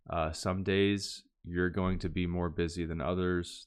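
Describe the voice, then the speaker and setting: A man with a very deep, low voice speaks at a fairly slow pace. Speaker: language learning youtuber. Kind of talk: casual tutorial outro. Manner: slow and clear; hesitant, many fillers.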